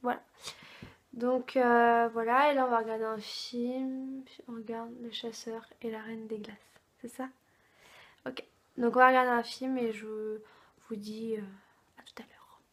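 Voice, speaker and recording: Very slow pace, monotone, flat intonation and big swings in loudness from a woman with long, frequent pauses. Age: 20s. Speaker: vlogger. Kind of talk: vlog. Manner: hesitant, many fillers.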